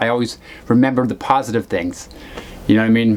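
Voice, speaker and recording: A man talks very fast at a medium pitch, with noticeable noise behind him. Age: 40s. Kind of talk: casual talk to camera. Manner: rambling, halting, many fillers.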